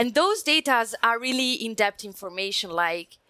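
Speaking at a moderate pace with an Italian accent, a woman has a bright, sharp tone and a fairly high pitch on a very clean recording with a silent background. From Italy. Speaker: security systems engineer. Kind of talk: technical panel discussion.

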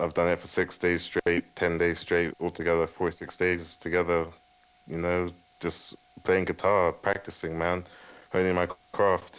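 A man talks with a very deep, low pitch in a London accent. His intonation is monotone and flat, and his pace is fairly slow. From West London, England. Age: 20s. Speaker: guitarist. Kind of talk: radio interview. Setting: Skype call. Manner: halting.

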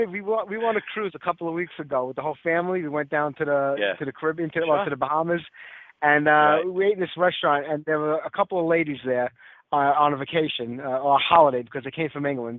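A man with a strong Brooklyn accent, talking at a very fast pace. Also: fairly high pitch for a man, ordinary pitch variation. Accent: heavy Brooklyn. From Brooklyn, New York. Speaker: radio show host. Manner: casual, conversational.

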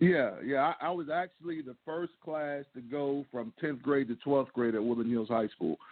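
Delivered with a plain, everyday voice, the speech moves at a moderate pace with ordinary pitch variation and hardly any pauses. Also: man, fairly high pitch for a man. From Pittsburgh, US. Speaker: former college football player. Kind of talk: interview. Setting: phone call.

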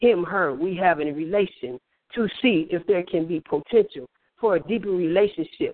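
Speaking with an American accent, a man uses a high pitch and ordinary pitch variation at a moderate pace. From US Midwest. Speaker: poet. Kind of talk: poetry reading. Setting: phone call.

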